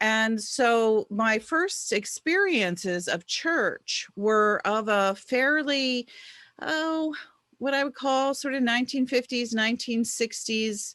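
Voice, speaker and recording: This woman has an American accent, high pitch and a bright, sharp tone with lively intonation. She talks at a very slow pace with very even loudness over a quiet background. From Baltimore, Maryland. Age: 60s. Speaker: author. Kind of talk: interview.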